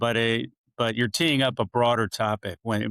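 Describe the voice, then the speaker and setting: A normal speaking voice at a moderate pace, on a very clean recording with a silent background and a dry, close sound with no echo. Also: man. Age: 60s. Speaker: marketing executive and author. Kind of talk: podcast interview.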